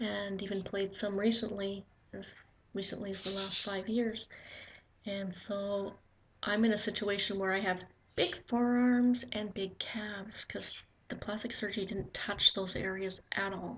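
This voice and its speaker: A soft-spoken woman talks at a fairly slow pace. Her pitch is medium and her intonation fairly even. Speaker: vlogger. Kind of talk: casual video diary. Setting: at home. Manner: halting.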